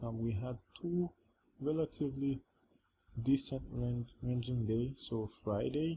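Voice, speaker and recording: With a non-native accent, a man speaks fairly slowly in a medium-pitched, somewhat breathy voice with a dark, mellow tone and ordinary pitch variation, leaving long, frequent pauses. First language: not English. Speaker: trading educator. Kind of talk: tutorial. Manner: halting.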